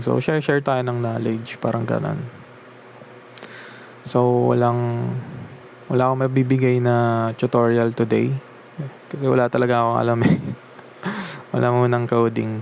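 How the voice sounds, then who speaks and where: Amid noticeable background noise, a man speaks with monotone, flat intonation, very even loudness and long, frequent pauses. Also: medium pitch for a man, moderate pace. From Philippines. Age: 20s. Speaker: self-taught beginner developer. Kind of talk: casual vlog talk, Taglish. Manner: reflective, hesitant.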